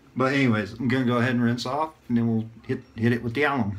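A man talks at a very fast pace with monotone, flat intonation. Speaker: YouTuber reviewing shaving gear. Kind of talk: casual vlog monologue with shaving tutorial. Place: bathroom. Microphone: phone near.

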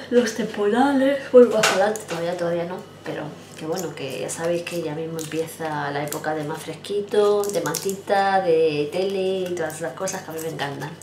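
Over light background noise and audible room echo, a woman speaks at a fairly low pitch with ordinary pitch variation. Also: moderate pace. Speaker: vlogger. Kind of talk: casual vlog chat. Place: home room. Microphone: phone near.

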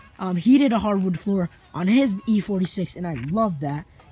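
A woman speaks in a dry sound with no echo. Faint music plays in the background. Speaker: car owner vlogger. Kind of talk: casual vlog chat. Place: street. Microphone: phone near.

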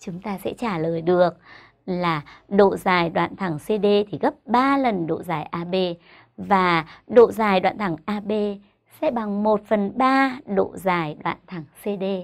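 The background is quiet as a woman speaks at a very slow pace. Her intonation is lively. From Vietnam. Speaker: primary school teacher. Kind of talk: tutorial. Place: studio. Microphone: lapel.

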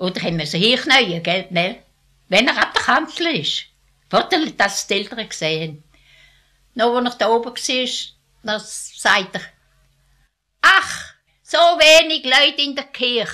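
Pausing long and often, a woman with a strong Alemannic accent speaks fairly slowly in a high, bright, sharp voice with very wide pitch swings. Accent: strong Alemannic dialect colouring. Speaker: elderly villager recounting her life. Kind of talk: oral history interview.

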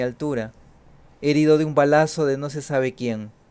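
Speaking at a fairly slow pace, a man uses a fairly high pitch and ordinary pitch variation. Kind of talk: poetry reading aloud, solemn elegiac litany of deaths. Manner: slow, measured, somber.

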